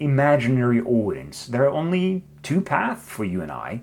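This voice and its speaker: Over music in the background, a man speaks at medium pitch and a moderate pace with lively intonation. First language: not English. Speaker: video essayist. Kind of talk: scripted narration. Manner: reflective.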